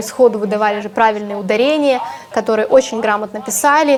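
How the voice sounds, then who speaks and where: A woman with a Ukrainian accent at a very fast pace, ordinary pitch variation, music in the background. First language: Ukrainian (speaking Russian). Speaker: TV journalist and video blogger. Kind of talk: casual advice talk to camera.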